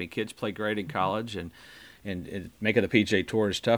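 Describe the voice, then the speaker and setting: Over a silent background in a very clean recording, a man talks in a normal speaking voice at a fairly low pitch and a fairly quick pace. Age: 60s. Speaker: podcast host, golfer. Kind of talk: interview.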